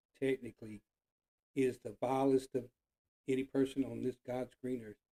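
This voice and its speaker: Dark, mellow tone in a dry, close sound with no echo. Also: man. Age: 60s. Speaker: political commentary vlogger. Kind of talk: casual rant monologue. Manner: animated.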